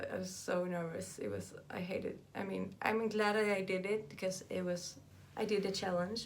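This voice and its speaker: A woman speaks at a medium pitch in a flat, monotone way, and the room echo is audible. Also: moderate pace. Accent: Southern Swedish. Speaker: vlogger. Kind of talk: personal vlog monologue. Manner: halting.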